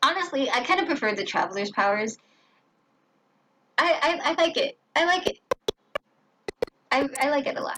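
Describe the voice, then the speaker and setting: The voice is raised and projected, with very wide pitch swings. It moves at a moderate pace, broken by long, frequent pauses. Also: woman, high pitch for a woman. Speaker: gaming streamer. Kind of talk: gameplay commentary. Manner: casual, chatty.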